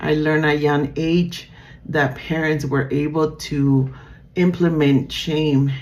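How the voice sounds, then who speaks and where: In a Spanish accent, a woman speaks at a fairly slow pace with a very deep, low pitch and monotone, flat intonation, and the room echo is audible. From Nicaragua. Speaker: student. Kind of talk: class presentation. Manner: halting, many fillers.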